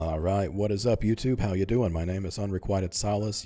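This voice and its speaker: This man's voice has a dark, mellow tone, a very deep, low pitch, and ordinary pitch variation. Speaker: gaming YouTuber. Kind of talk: gameplay commentary. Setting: home recording, lying back. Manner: quiet, not loud. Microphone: mic close in front of mouth.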